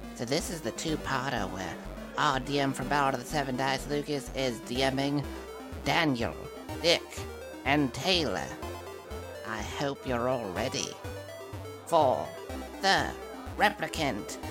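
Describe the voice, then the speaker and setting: A put-on character voice at a low-to-middle pitch and a fairly slow pace, over loud music in the background. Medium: actual play. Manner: boastful, goofy, rambling.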